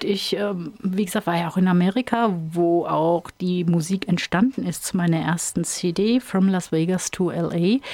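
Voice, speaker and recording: Her pitch fairly low and varying in an ordinary way, a woman speaks at a fairly slow pace in a dry, close sound with no echo, with noticeable background noise. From Rhineland-Hesse, Ingelheim am Rhein. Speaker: country singer and band leader. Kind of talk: radio interview. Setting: studio.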